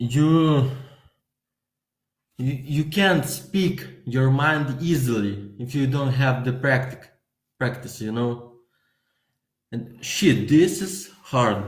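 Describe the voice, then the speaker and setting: Very slow, somewhat breathy speech with a Lithuanian accent, long and frequent pauses, ordinary pitch variation and audible room echo. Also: man, medium pitch for a man. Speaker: vlogger. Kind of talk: casual monologue. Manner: halting.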